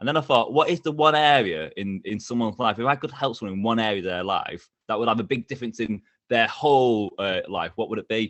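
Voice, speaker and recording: A man's animated voice at a very fast pace, medium in pitch with ordinary pitch variation and hardly any pauses. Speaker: interview coach. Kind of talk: podcast interview.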